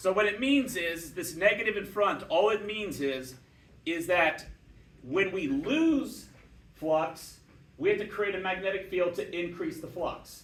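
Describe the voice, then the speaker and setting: Amid audible room echo, a man with a high voice speaks fairly slowly with lively intonation. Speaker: physics teacher. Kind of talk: lecture.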